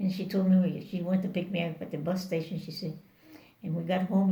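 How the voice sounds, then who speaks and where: Speaking at a very fast pace, a woman with a Spanish accent keeps a monotone, flat intonation. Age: 80s+. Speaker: Bible worker and missionary. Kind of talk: interview answer.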